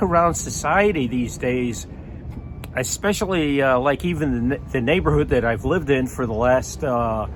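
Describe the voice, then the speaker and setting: A man talks with lively intonation. There's noticeable background noise and audible room echo. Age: 60s. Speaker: vlogger. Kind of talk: casual monologue. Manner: halting, many fillers.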